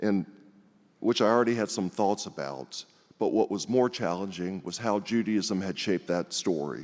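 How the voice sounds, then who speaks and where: A man with a Texan accent talks at a fairly low pitch. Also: ordinary pitch variation, moderate pace. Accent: Texan American English. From US South, Houston, Texas. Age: 60s. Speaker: congregation member speaker. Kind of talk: personal testimony speech.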